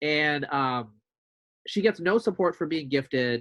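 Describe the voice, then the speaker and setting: A man with a plain, everyday voice and a fairly high pitch speaks with lively intonation, the sound dry and close with no echo and the background quiet. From US, immigrant childhood then Eastern Oregon. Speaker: podcast host. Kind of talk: interview conversation. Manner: casual, many fillers.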